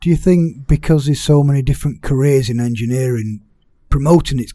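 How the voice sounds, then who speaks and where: Somewhat breathy and dark, mellow in tone, a man speaks at fairly high pitch and a fairly quick pace with ordinary pitch variation. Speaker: podcast host. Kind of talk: interview podcast.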